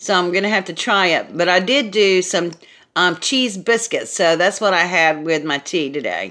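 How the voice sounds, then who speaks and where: Loud and animated, a woman speaks in a medium pitch with a Southern US accent and a bright, sharp tone. Her pace is moderate, her pitch variation ordinary, and the recording very clean with a silent background. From US South, South Carolina. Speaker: craft YouTuber. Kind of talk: casual live stream chat. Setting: live video stream.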